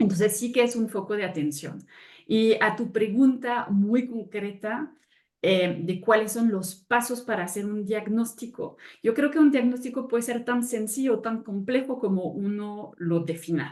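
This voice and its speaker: In a French accent, a woman talks at a fairly slow pace with a fairly high pitch and ordinary pitch variation. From France. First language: French (speaking Spanish). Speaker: sustainability consultant. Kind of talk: webinar panel talk.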